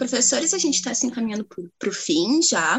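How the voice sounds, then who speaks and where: A woman's high voice with very wide pitch swings. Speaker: student podcast co-host. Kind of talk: casual interview chat.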